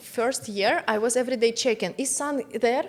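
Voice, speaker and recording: A woman with a Russian accent and ordinary pitch variation. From Russia, Moscow. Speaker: entrepreneur, business strategist. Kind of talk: interview. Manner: halting.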